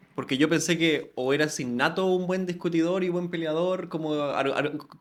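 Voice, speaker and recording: A man with a Chilean accent, fairly high in pitch, at a moderate pace with fairly even intonation. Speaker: podcast host. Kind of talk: interview conversation.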